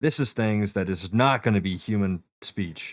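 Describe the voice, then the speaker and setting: The speaker is a man with a fairly low pitch. The recording is very clean, with a silent background. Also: dry, close sound with no echo. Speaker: streamer giving setup advice. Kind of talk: tutorial. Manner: casual, halting.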